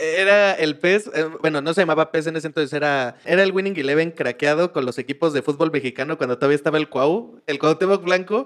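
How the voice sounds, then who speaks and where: Using a normal speaking voice, a man talks at a fairly quick pace in a fairly high pitch with ordinary pitch variation. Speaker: podcast co-host. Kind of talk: casual chat.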